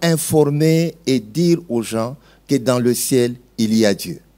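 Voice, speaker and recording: A man's fairly high voice, dark and mellow in tone, with ordinary pitch variation. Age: 60s. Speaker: pastor. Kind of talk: testimony.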